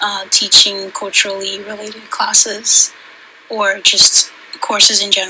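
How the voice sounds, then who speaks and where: The voice is soft-spoken, at a fairly slow pace, with big swings in loudness. Noticeable background noise sits behind it. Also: woman. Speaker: student. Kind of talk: class assignment vlog. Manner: halting.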